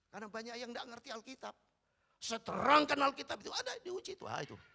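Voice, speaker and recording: This man's tone is bright and sharp. He talks in a raised, projected voice. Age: 60s. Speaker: pastor. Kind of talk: sermon. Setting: church.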